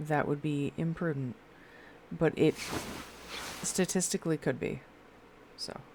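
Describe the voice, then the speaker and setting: Soft-spoken and very deep in pitch, a woman talks at a moderate pace with long, frequent pauses. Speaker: live streamer. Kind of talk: casual gaming stream chat. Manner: quiet, soft-spoken.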